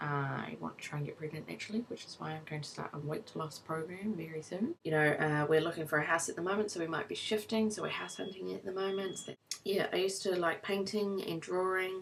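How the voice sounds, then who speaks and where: Speaking at a very fast pace with a New Zealand accent, a woman shows ordinary pitch variation over noticeable background noise. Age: 20s. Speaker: vlogger, new mother. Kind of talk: casual personal vlog. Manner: casual, lots of fillers.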